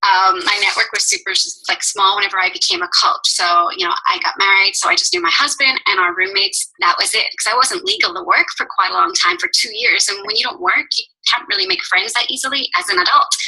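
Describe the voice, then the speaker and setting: A woman speaks at a fairly quick pace. Behind her, background noise is noticeable. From Northern Ireland. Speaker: fitness coach. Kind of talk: team call talk.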